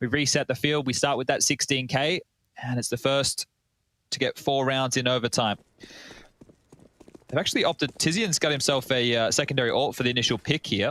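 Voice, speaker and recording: Speaking at a fairly quick pace with long, frequent pauses, a man at medium pitch keeps very even loudness and ordinary pitch variation, his bright, sharp tone caught in a dry, close sound with no echo. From Australia. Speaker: esports caster. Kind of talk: live commentary.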